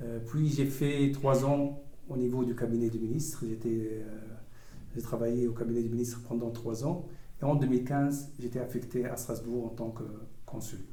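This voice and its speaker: In a room with audible echo, a man with an Arabic accent speaks at a moderate pace and medium pitch, keeping his intonation fairly even. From Tunisia. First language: Arabic (speaking French). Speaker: diplomat. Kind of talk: interview. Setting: school campus talk. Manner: hesitant, many fillers.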